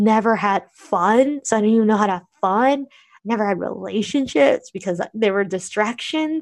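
A woman with an American accent has a normal speaking voice at a fairly high pitch. Her pace is moderate and her pitch variation ordinary. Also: quiet background. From United States (Korean American). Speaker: blogger and podcaster. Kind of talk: interview conversation.

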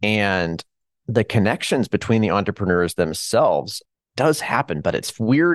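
A man with an American accent speaks in a normal speaking voice at a moderate pace, his fairly low pitch carried by lively intonation in a dry, close sound with no echo over a quiet background. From Kansas, Hutchinson. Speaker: local entrepreneurship program director. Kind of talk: interview.

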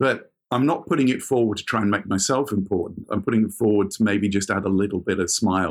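A man speaks at a fairly quick pace in a plain, everyday voice, with ordinary pitch variation. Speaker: semi-retired sports industry executive and photographer. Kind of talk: coaching conversation.

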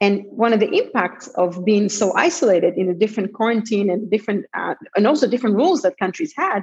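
A woman talks at a very fast pace with hardly any pauses. Her voice is fairly high and somewhat breathy, with lively intonation. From Israel. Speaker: tech entrepreneur. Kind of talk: interview.

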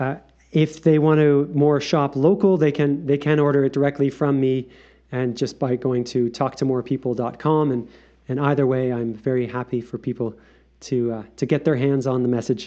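Speaking in a normal speaking voice at a moderate pace, a man keeps a fairly high pitch and fairly even intonation. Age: 40s. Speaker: author and circus performer. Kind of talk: casual interview chat.

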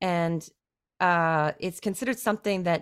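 With a Canadian accent, a woman speaks at a moderate pace in a fairly low pitch, in a normal speaking voice. Her recording is very clean with a silent background and a dry, close sound with no echo. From Canada. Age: 40s. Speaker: singer-songwriter. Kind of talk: interview.

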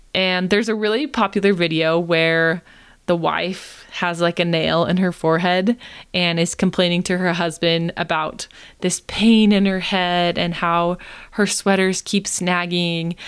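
A woman with a plain, everyday voice at a fairly low pitch, fairly slow in pace, with fairly even intonation and very even loudness, in a very clean recording with a silent background. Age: 20s. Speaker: podcast host, screen time mentor for moms. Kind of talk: solo podcast advice talk.

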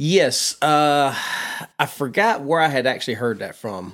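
A man speaks in a Southern US accent. His pitch variation is ordinary. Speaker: long-distance hiker guest. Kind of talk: casual interview chat. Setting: vacant house studio.

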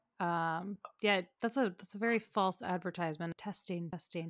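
On a very clean recording with a silent background, a woman with an ordinary speaking voice talks at medium pitch and a moderate pace. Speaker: podcast co-host. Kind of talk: casual chat.

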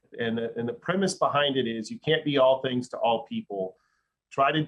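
With an American accent, a man talks at a moderate pace in a medium pitch and a normal speaking voice. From Dallas, Texas. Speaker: sports marketing executive. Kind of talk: podcast interview.

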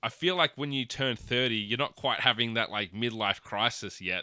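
On a very clean recording with a silent background, a man with an Australian accent speaks at medium pitch in a bright, sharp tone with ordinary pitch variation. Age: 30s. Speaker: podcast host. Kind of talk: casual chat.

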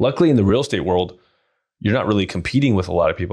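A man's voice, with ordinary pitch variation, stands out against a quiet background. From US, raised in an Iranian immigrant family. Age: 30s. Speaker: real estate investor. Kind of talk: interview.

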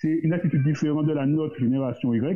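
This is a man with a normal speaking voice. His pitch is fairly high. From Guadeloupe. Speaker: entrepreneur. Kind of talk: casual discussion.

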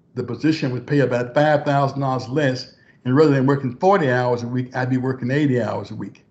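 A man's somewhat breathy, medium-pitched voice with an Arkansas accent, ordinary pitch variation and a moderate pace. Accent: Southern US (Arkansas). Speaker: former government official. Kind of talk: interview.

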